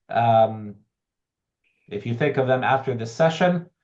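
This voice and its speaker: With an American accent, a man of medium pitch speaks at a moderate pace, somewhat breathy, with ordinary pitch variation. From United States. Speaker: professor. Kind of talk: online information session. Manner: conversational with fillers.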